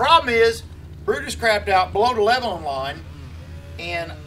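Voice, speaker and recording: Faint music plays in the background. A man is speaking. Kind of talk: casual vlog chat. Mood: frustrated, telling a bad day. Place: workshop.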